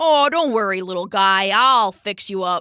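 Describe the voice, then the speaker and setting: A put-on character voice, rumbling, at a moderate pace with lively intonation, in a dry, close sound with no echo and a very clean recording with a silent background. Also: woman. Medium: read story. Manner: petulant, grumbling.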